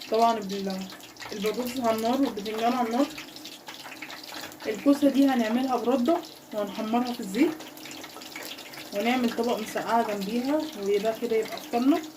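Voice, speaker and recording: Long, frequent pauses from a woman, with noticeable background noise and audible room echo. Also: ordinary pitch variation, moderate pace. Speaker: cooking channel host. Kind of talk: cooking tutorial. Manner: casual.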